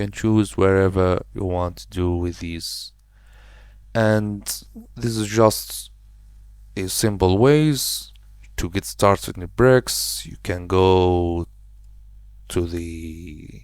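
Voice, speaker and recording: Loudness jumps up and down a great deal as a man speaks very slowly. Long, frequent pauses break up his speech. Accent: non-native. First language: not English. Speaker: web design tutorial creator. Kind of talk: screen-recorded software tutorial. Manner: casual, slightly halting non-native phrasing.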